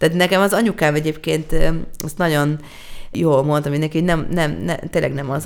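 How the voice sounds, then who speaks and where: Her voice very deep and low, a woman speaks fairly quickly with vocal fry. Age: 30s. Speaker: singer-songwriter. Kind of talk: casual chat.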